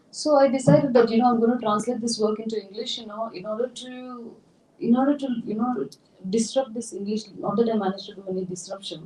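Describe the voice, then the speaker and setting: A woman talks with a Tamil accent at a very fast pace and a fairly high pitch. Noticeable background noise is present. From India, Tamil Nadu. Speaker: writer and translator. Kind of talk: public talk Q&A.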